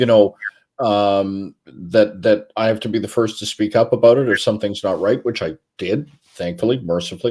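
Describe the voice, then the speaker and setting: A man's plain, everyday voice, fairly low in pitch with ordinary pitch variation, at a moderate pace on a very clean recording with a silent background. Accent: Canadian. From Vancouver, Canada. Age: 60s. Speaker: former sports media relations director. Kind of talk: podcast interview.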